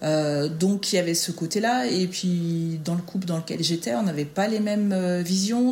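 A woman's fairly low voice, fairly slow in pace, with ordinary pitch variation. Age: 40s. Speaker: school staff member and mother. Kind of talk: interview, casual chat. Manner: hesitant, many fillers.

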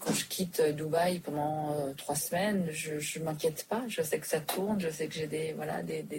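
A woman speaks at a moderate pace with a very deep, low pitch. Noticeable background noise can be heard. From Switzerland. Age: 40s. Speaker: restaurant entrepreneur. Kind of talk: interview. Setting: quiet back room. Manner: hesitant with frequent repetitions.

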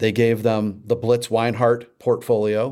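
A man speaks in a normal speaking voice at a fairly slow pace. His pitch sits in the medium range. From St. Louis, Missouri. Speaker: former beer marketer. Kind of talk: interview.

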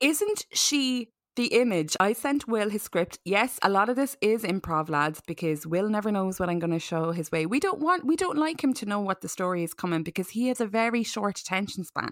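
This woman has an Irish accent and a fairly quick pace. Her pitch swings very widely. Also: medium pitch for a woman. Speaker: podcast host. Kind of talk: casual chat. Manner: animated.

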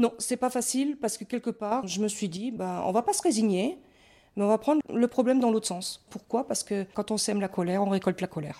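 Fairly high-pitched for a woman, her dark, mellow tone moves at a fairly quick pace with ordinary pitch variation on a very clean recording with a silent background. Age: 50s. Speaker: yellow vest activist. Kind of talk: interview testimony. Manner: hesitant, many fillers.

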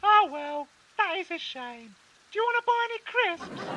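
The voice is a put-on character voice, squeaky and extremely high in pitch, at a moderate pace. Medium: comedy sketch.

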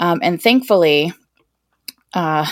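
The recording is very clean and the background silent. The speaker is a woman. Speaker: survey research staff member. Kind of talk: educational podcast interview. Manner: fast talker.

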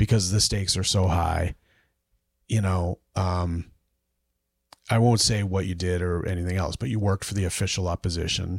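A man's playful, very deep and low voice at a moderate pace, fairly even in intonation, with long, frequent pauses, a dry, close sound with no echo, and a very clean recording with a silent background. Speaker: podcast host. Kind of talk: casual banter between co-hosts. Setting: studio at home, den. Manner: joking, playful.

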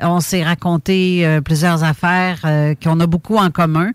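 Speaking fairly slowly with a fairly low pitch, a woman sounds dry and close with no echo. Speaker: podcast host. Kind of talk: interview. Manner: quiet.

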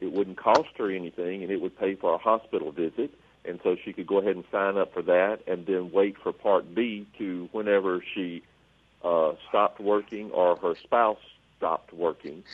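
This man has a normal speaking voice with a fairly low pitch. He talks at a moderate pace with fairly even intonation. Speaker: government agency regional manager. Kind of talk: call-in radio Q&A. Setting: radio studio.

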